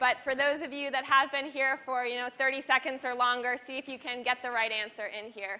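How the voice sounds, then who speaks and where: A woman speaks in a raised, projected voice at a fairly quick pace. Her intonation stays fairly even. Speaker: university lecturer. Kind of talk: lecture. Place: hall. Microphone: lapel.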